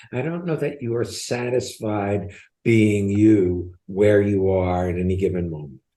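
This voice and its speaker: Audible room echo surrounds a man with a fairly low pitch and a dark, mellow tone. He speaks at a fairly slow pace with lively intonation. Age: 80s. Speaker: podcast co-host, transformation coach. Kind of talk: coaching conversation on podcast.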